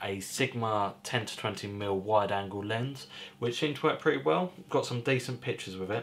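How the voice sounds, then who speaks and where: A man talks at a moderate pace and a fairly low pitch with ordinary pitch variation. It is an unremarkable speaking voice. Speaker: hobby photographer vlogger. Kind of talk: casual vlog chat. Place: home room.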